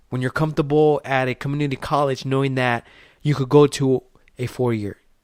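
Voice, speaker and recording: Dry and close with no echo, the voice sounds animated at a very fast pace. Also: man. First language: Spanish. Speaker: podcast host. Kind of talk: motivational podcast monologue.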